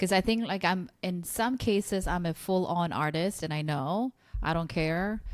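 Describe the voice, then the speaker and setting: A woman with a Korean accent, fairly low pitch, ordinary pitch variation and a moderate pace. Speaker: podcast host. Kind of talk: podcast interview. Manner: casual, hesitant with fillers.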